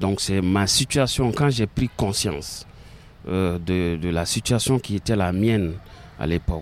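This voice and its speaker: Speaking at a very slow pace, a man uses a very deep, low pitch with ordinary pitch variation. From Mali. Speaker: librarian and novelist. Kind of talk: interview. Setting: outdoors in gardens. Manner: halting, many repetitions.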